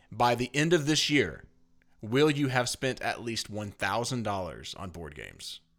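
With vocal fry and lively intonation, a man of medium pitch talks at a moderate pace, his loudness swinging widely, on a very clean recording with a silent background. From Tennessee. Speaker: board game podcast host. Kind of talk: casual chat, game review. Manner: playful, joking.

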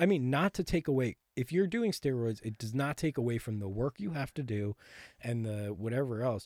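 An unremarkable speaking voice from a man at medium pitch, with lively intonation and a moderate pace, in a very clean recording with a silent background and a dry, close sound with no echo. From Connecticut, near New York City. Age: 20s. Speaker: actor and bodybuilder. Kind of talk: casual chat.

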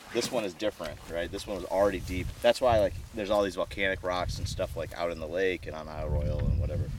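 A man with an Upper Midwest accent, talking at a very fast pace. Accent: Upper Midwest American. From Michigan. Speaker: geoscience professor. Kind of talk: interview.

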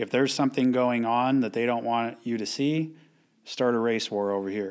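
A man talks in a normal speaking voice at a medium pitch. His intonation is fairly even and his pace is moderate. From Lucerne Valley, Southern California high desert. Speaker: gym owner. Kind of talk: casual interview chat.

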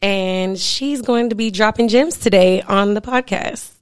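In an ordinary speaking voice, a woman talks at a moderate pace, with medium pitch and ordinary pitch variation. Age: 20s. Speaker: esthetician. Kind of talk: casual chat.

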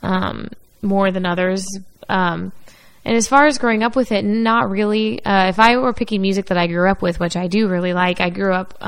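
With an unremarkable speaking voice, a woman talks at medium pitch and a moderate pace, with ordinary pitch variation and a quiet background. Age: 20s. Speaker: podcast co-host. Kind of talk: casual chat.

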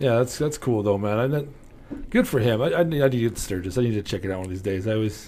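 At a fairly quick pace with hardly any pauses, a man talks in a dark, mellow tone at a medium pitch with ordinary pitch variation. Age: 40s. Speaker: podcast host. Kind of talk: casual chat; sponsor plug. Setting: studio.

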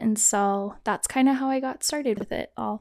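Speaking in an ordinary speaking voice with an American accent, a woman keeps a moderate pace, a fairly high pitch and ordinary pitch variation in a very clean recording with a silent background. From Kansas. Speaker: photographer and teacher. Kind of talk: casual interview.

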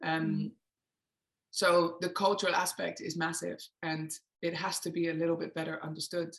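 Using vocal fry and a monotone, flat intonation, a woman speaks in a fairly low pitch at a moderate pace with long, frequent pauses. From England. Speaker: emotional awareness coach. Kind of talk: interview.

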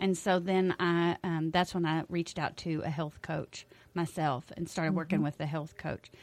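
The delivery is monotone and flat, at a moderate pace, in a Texan accent. The recording is very clean with a silent background. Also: woman, fairly low pitch for a woman. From Texas Hill Country. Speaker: health coach and teacher. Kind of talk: radio interview. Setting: radio studio.

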